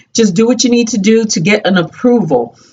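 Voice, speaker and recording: The speaker is a woman with fairly high pitch. Her pitch varies in an ordinary way. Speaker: chair fitness instructor. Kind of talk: exercise tutorial. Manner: fast; animated.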